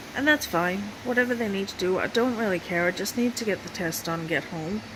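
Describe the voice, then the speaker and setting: A woman speaks with noticeable background noise. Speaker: chronically ill patient. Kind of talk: casual talk to camera.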